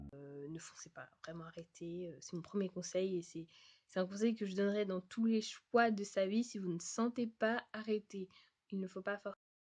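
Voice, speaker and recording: A woman speaks at a medium pitch and moderate pace, with ordinary pitch variation and big swings in loudness. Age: 20s. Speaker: vlogger and au pair. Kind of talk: advice vlog. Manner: hesitant, many fillers.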